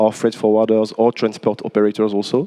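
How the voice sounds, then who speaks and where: A man with a French accent speaks in a fairly low pitch, his tone dark and mellow. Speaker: port company manager. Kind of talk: panel discussion. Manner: halting.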